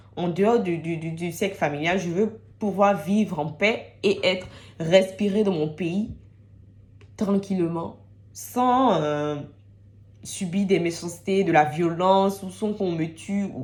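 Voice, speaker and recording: A woman speaks at a very slow pace, with long, frequent pauses. Her pitch varies in an ordinary way. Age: 20s. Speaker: student. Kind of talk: personal testimony to camera.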